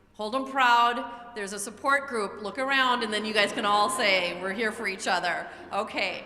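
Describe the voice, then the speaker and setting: A woman's voice at a moderate pace with ordinary pitch variation, noticeable background noise and audible room echo. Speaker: school administrator. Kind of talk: presentation to parents.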